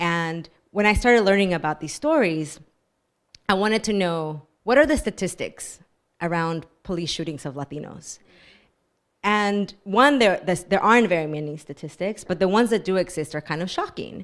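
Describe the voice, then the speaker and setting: An American-accented woman speaks at a medium pitch and a moderate pace. Her intonation is lively, and the recording is very clean with a silent background. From Texas. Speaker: author. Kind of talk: book talk discussion. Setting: bookstore event with audience.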